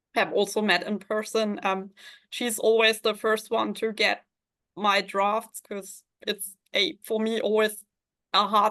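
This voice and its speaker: At a fairly slow pace, a woman with a German accent speaks in a fairly high pitch. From Germany, Hamburg. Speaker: fantasy author. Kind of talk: interview. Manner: halting.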